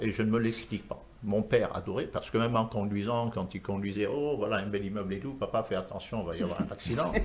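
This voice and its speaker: A man speaks at a very fast pace and medium pitch. His voice is somewhat breathy. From Senegal (Rufisque, Dakar). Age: 60s. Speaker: architect. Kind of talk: TV talk show interview.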